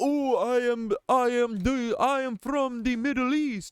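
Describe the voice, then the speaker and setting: Putting on a character voice with a French accent, a man speaks at an extremely high pitch, with fairly even intonation and a fairly slow pace. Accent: fake French. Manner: mocking.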